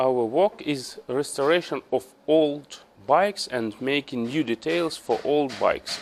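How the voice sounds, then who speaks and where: This speaker has a Ukrainian accent and ordinary pitch variation. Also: man. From Ukraine. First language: Ukrainian or Russian. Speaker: motorcycle restorer. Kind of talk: tutorial. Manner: halting.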